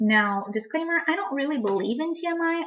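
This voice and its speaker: Lively intonation carries the speech along at a moderate pace. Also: woman. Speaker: pregnancy vlogger. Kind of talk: casual vlog.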